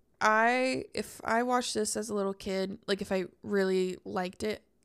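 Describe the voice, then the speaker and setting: On a very clean recording with a silent background, a woman with an unremarkable speaking voice and medium pitch speaks with lively intonation. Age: 20s. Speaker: podcast co-host. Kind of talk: casual chat.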